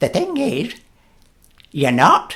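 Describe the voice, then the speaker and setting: The man is using a put-on character voice. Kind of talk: bedtime story. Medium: read story. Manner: calm, knowing.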